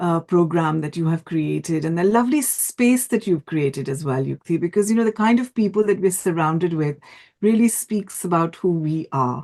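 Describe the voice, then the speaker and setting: Over a quiet background, a woman with a fairly low pitch and a dark, mellow tone speaks at a moderate pace with lively intonation. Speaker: event jury member. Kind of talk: feedback speech. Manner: stammer.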